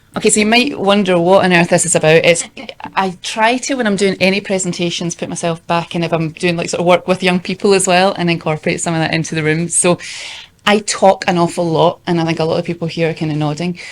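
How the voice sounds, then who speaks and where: A woman talks at a very fast pace in a fairly low voice. Her intonation stays fairly even. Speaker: youth engagement worker. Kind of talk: conference presentation.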